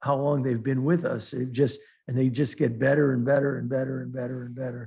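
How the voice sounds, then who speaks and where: A man speaks at a medium pitch. His tone is dark and mellow, and somewhat breathy. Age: 60s. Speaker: futures trader and market commentator. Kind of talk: trading webinar Q&A. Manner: halting, many restarts and fillers.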